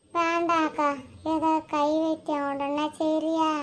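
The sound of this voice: Extremely high-pitched for a woman, this female-sounding cartoonish character voice moves at a very slow pace with monotone, flat intonation.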